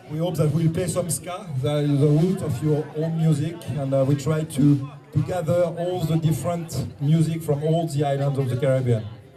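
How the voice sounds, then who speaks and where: A man with a French accent speaks at a moderate pace and a fairly high pitch. Music plays in the background, and there is audible room echo. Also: fairly even intonation. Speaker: band musician. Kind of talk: stage address to audience. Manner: halting.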